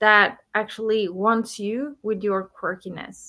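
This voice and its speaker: A woman's bright, sharp voice with a non-native accent, at a fairly slow pace, on a very clean recording with a silent background. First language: not English. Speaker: business coach and entrepreneur. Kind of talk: podcast interview. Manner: halting, with fillers and restarts.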